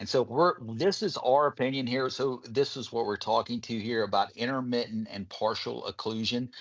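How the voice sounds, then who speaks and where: With a Southern US accent, a man talks in a fairly even intonation. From Kentucky, US South. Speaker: medical device physician presenter. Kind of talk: webinar presentation.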